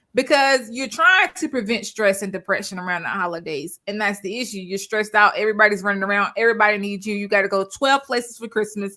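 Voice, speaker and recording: A woman's animated voice at a very fast pace, with hardly any pauses. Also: medium pitch for a woman, ordinary pitch variation. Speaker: online show host. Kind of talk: casual chat.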